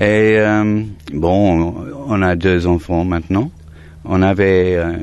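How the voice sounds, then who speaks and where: At a very slow pace, a man speaks in an English accent with a very deep, low pitch. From Surrey, southern England. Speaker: holiday cottage owner. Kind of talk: interview. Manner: hesitant, repeats words.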